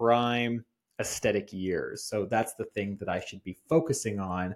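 A man's unremarkable speaking voice, medium in pitch and moderate in pace, on a very clean recording with a silent background. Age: 30s. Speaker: strength coach and podcast host. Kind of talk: solo podcast monologue.

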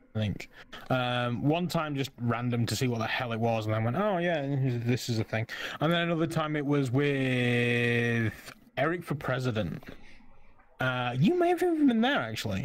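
Here a man talks in a plain, everyday voice at a medium pitch. His pace is moderate, and his pitch variation is ordinary. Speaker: Twitch streamer.

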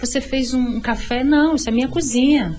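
Music plays in the background, and audible room echo fills the space. A woman speaks at a fairly quick pace in a high voice. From Vitória, Espírito Santo, Brazil. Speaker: visual artist, cultural space founder. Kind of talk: radio interview.

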